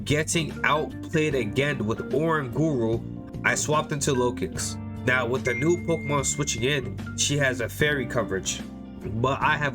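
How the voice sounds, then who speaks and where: With music playing in the background, a man talks at a moderate pace and a medium pitch, his intonation lively. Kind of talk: gameplay commentary narration.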